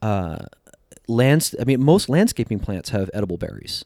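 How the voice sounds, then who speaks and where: A man with a normal speaking voice and an American accent talks at a moderate pace, his medium pitch carrying lively intonation. The recording is very clean, with a silent background and a dry, close sound with no echo. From New Jersey. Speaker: wild food writer, cookbook author. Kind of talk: casual interview chat.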